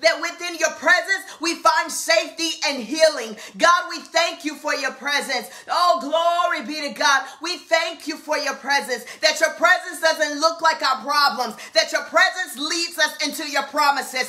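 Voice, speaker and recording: Using a raised, projected voice, a woman speaks at a fairly slow pace with ordinary pitch variation. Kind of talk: fervent live-stream prayer. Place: home room. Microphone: webcam.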